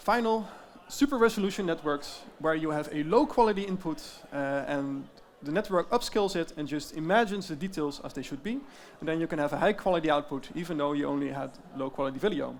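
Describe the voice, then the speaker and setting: Speaking at a very fast pace, a man with a slight Dutch accent uses a fairly high pitch and ordinary pitch variation. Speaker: tech company founder. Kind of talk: conference presentation.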